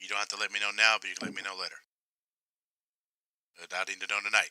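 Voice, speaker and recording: Using a raspy put-on character voice, a man talks very fast at a fairly low pitch with monotone, flat intonation, in a dry, close sound with no echo. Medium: actual play. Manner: measured, hesitant, businesslike.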